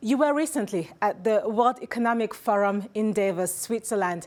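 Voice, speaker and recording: With lively intonation, a woman speaks in an unremarkable speaking voice at a moderate pace. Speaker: news interviewer. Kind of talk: news interview questions.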